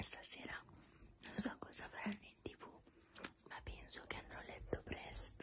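A woman whispers at a fairly slow pace. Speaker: mukbang vlogger. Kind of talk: ASMR eating show talk to camera. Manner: semi-whispered. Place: home room. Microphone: phone near.

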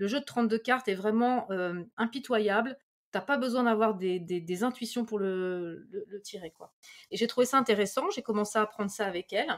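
With a normal speaking voice and a fairly high pitch, a woman talks at a moderate pace, her loudness swinging widely and her pitch varying in an ordinary way. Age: 40s. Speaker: medium. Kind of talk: casual chat.

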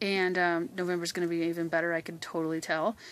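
The woman's tone is bright and sharp, and the sound is dry with no echo. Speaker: host of a sales group announcing winners. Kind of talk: casual announcement to group members. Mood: cheerful, congratulating. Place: home room.

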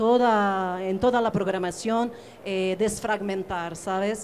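A woman speaks in a normal speaking voice, at a fairly slow pace with fairly even intonation, over light background noise. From Portugal. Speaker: curator; panelist. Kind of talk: panel discussion. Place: hall.

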